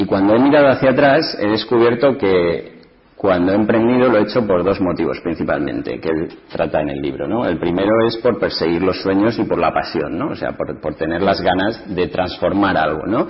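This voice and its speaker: A man's fairly low voice with lively intonation at a moderate pace, hardly any pauses, and noticeable background noise. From Spain, Ciudad Real. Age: 30s. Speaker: entrepreneur. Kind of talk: panel talk.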